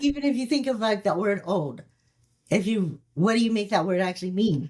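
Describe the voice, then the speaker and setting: A woman's somewhat breathy, medium-pitched voice with lively intonation at a fairly quick pace. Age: 60s. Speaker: alcohol-free mindset and longevity coach, former flight attendant. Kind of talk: casual chat.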